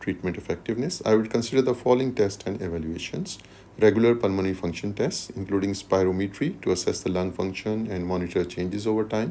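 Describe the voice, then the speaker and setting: A dark, mellow tone at a fairly quick pace. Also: man. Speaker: medical exam tutor. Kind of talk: tutorial. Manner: fast.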